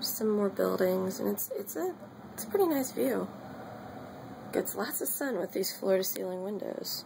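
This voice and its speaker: A woman at a fairly slow pace over noticeable background noise. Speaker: college student. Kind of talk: casual vlog apartment tour. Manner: whispered. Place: home room. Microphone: phone near.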